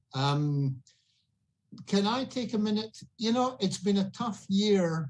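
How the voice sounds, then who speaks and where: The speaker has a Scottish accent. The intonation is lively. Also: man. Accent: Scottish, still noticeable. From Scotland. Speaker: auction guest, local community member. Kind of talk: casual chat.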